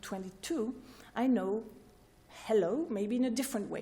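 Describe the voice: A woman speaks at a fairly high pitch with ordinary pitch variation. Her tone is dark and mellow.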